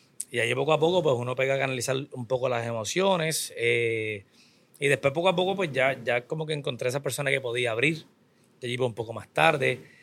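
Vocal fry runs through this man's voice. He talks at a very fast pace with ordinary pitch variation. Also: medium pitch for a man. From Puerto Rico. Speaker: business owner and trainer. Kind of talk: interview.

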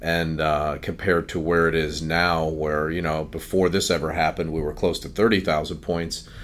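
A man's very deep, low voice in a monotone, flat delivery, over noticeable background noise. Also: moderate pace. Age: 50s. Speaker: financial advisor. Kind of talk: casual chat. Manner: halting, many fillers.

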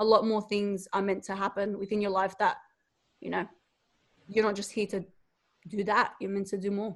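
With an Australian accent, a woman of medium pitch speaks in a monotone, flat way at a moderate pace, leaving long, frequent pauses. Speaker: online entrepreneur and mother. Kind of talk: interview, casual conversation.

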